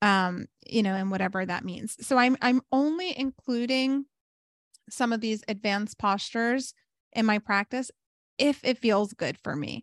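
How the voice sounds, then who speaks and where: A woman's animated voice with ordinary pitch variation at a moderate pace over a quiet background. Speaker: yoga teacher and podcast host. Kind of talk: casual chat.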